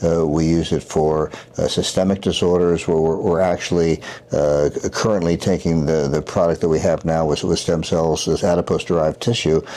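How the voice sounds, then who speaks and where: Noticeable noise sits in the background. The words come at a fairly quick clip. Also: man. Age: 70s. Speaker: surgeon. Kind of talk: interview. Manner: halting, many fillers and repetitions.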